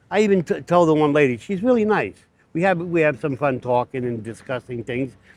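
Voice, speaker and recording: Loud and fairly quick, a man speaks at a fairly high pitch with very wide pitch swings. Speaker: vlogger and cancer patient. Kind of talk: casual vlog monologue. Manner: animated.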